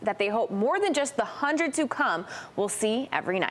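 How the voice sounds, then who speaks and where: Over noticeable background noise, a woman with an American accent speaks very fast with ordinary pitch variation. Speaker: TV news reporter and anchor. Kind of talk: TV news reporting and live stand-ups.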